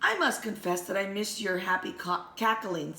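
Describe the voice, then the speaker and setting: A woman puts on a raspy character voice at a medium pitch. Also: moderate pace. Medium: read story.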